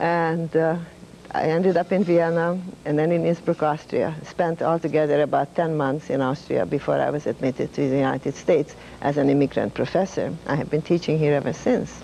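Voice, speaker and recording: Speaking fairly quickly with a Hungarian accent, a woman uses a very deep, low pitch and fairly even intonation. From Hungary. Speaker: retired professor of humanities. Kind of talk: interview.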